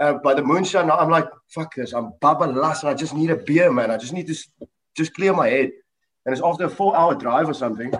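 With a plain, everyday voice, a man talks at a fairly quick pace and fairly high pitch, his intonation lively. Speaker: band member. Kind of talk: casual interview. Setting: video call. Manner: jokey.

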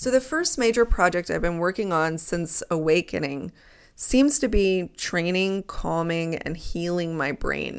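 A woman with an ordinary speaking voice talks at a fairly slow pace with fairly low pitch and lively intonation, on a very clean recording with a silent background. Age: 30s. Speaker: psychology professor and podcaster. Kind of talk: solo monologue.

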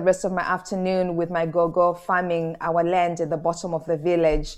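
A woman with a Zimbabwean accent speaks at a fairly quick pace. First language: Shona. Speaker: author and humanitarian speaker. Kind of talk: interview conversation.

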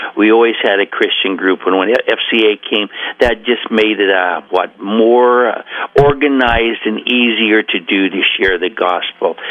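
Against noticeable background noise, a man with an American accent talks at a fairly slow pace, his medium-pitched voice following fairly even intonation. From Oregon coast, US. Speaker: track coach. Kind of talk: radio interview. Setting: phone call.

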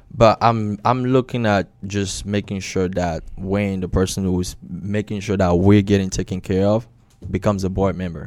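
A man's unremarkable speaking voice with an American accent, fairly low in pitch, at a moderate pace with fairly even intonation. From Maryland, US. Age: 20s. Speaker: insurance agent and team leader. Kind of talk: interview.

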